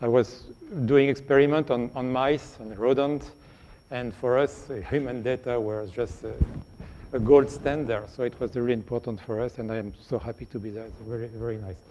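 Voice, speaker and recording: In a strong French accent, a man speaks at a medium pitch with fairly even intonation. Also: moderate pace, big swings in loudness. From France. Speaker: radiation protection scientist. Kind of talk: lecture. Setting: virtual lecture. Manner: halting, frequent repetitions.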